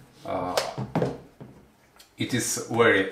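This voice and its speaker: Noticeable background noise behind a man talking fairly slowly. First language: not English. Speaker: product reviewer. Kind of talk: product review. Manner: halting, many fillers.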